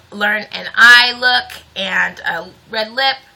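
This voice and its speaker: Her intonation fairly even, a woman talks over noticeable noise in the background. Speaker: beauty vlogger. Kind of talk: tutorial. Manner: casual, chatty.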